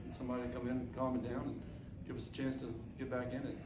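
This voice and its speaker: A man talks at a very fast pace. Loud background noise is present. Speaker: baseball head coach. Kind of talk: interview answer. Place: meeting room.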